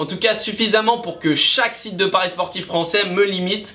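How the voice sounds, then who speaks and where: Noticeable background noise surrounds a man who talks at a moderate pace. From France, Nantes. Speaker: YouTuber on sports betting. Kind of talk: casual Q&A vlog.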